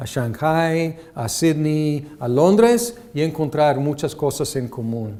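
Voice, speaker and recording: Heard with audible room echo, a man in an English accent speaks in a dark, mellow tone with ordinary pitch variation. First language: English (speaking Spanish). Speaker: seminary lecturer. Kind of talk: lecture. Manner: halting with many fillers.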